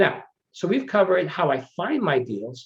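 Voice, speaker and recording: The man's voice is somewhat breathy. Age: 50s. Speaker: real estate investor. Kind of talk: webinar presentation.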